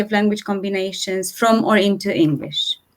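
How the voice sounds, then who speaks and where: A woman speaks with a Romanian accent. Her pitch variation is ordinary. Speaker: translator. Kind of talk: panel discussion.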